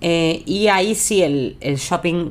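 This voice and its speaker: In a normal speaking voice, a woman speaks at a fairly slow pace, with medium pitch and ordinary pitch variation. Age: 40s. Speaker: podcast co-host. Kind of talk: casual chat.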